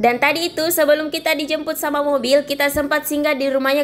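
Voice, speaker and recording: A woman is talking very fast. Her voice is shrill. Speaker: travel vlogger. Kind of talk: voice-over narration of travel video. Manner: casual, chatty.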